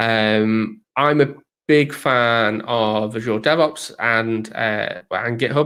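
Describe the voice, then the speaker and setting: A man at medium pitch with a bright, sharp tone, fairly even intonation and very slow pace, on a very clean recording with a silent background. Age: middle-aged. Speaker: DevOps consultant. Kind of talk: casual chat. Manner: hesitant, many fillers.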